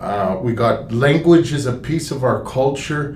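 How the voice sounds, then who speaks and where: A man's fairly slow speech comes through with noticeable background noise and audible room echo. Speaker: museum general manager. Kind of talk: live stream talk. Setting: live stream from historical park. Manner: halting, many fillers.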